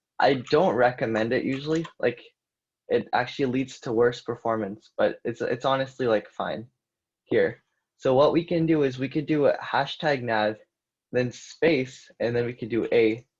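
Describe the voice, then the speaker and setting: A man's voice, an unremarkable speaking voice, comes through at a medium pitch and a moderate speed, the pitch varying ordinarily over a quiet background. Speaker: coding instructor. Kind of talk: live coding tutorial. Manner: casual with fillers.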